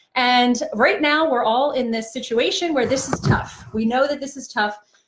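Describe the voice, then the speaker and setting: Her high voice carries audible room echo as a woman speaks over a quiet background. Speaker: trainer. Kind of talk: live-stream talk to parents. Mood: warm, empathetic. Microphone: phone near.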